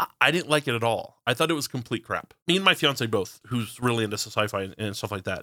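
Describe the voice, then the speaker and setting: Very fast and with hardly any pauses, a man with an American accent speaks at a medium pitch with lively intonation and a bright, sharp tone. The sound is dry and close with no echo, in a very clean recording with a silent background. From Texas, Fort Worth. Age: 30s. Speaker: podcast host. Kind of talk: casual chat.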